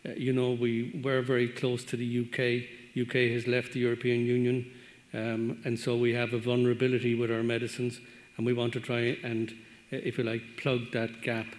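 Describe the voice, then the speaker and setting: A man with an Irish accent talks at a fairly quick pace. His intonation is monotone and flat, and his loudness stays very even. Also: medium pitch for a man. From Ireland. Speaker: veterinary medicines regulator. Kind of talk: panel discussion comment.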